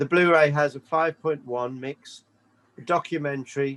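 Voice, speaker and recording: This man has an English accent and a fairly slow pace. His intonation stays fairly even, recorded with a dry, close sound and no echo. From England. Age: 60s. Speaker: rock bass player. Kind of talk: interview.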